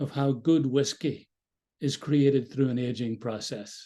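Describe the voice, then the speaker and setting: Speaking at a fairly slow pace with an Irish accent, a man has a fairly high pitch, ordinary pitch variation and a dark, mellow tone. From Ireland. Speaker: mindfulness dialogue facilitator. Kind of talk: guided group dialogue.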